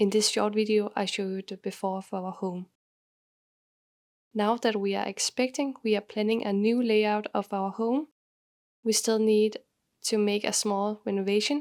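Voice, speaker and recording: A moderate pace in a Danish accent, with fairly even intonation, long, frequent pauses, and a dry, close sound with no echo. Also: woman, fairly high pitch for a woman. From Denmark. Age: 20s. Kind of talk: home tour voiceover.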